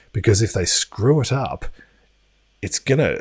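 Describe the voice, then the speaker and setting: With an Australian accent, a man speaks at a moderate pace, somewhat breathy and with ordinary pitch variation. The recording is very clean, with a silent background. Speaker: crypto news youtuber. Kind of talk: live stream commentary. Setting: home studio. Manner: casual, hesitant with fillers.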